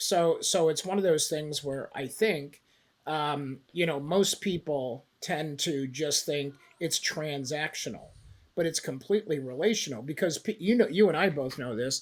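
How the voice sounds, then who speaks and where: In a normal speaking voice, a man with a fairly high pitch and ordinary pitch variation talks at a fairly slow pace. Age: 60s. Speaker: investment banker. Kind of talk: podcast interview. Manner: casual, many fillers.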